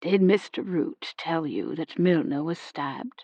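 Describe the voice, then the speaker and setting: A woman's put-on character voice, gruff and fairly low-pitched, with lively intonation at a fairly slow pace. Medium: read story.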